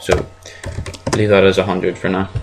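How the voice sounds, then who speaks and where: Noticeable background noise behind a man with a fairly low pitch. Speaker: software tutorial maker. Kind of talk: screen-recorded tutorial. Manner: casual, hesitant.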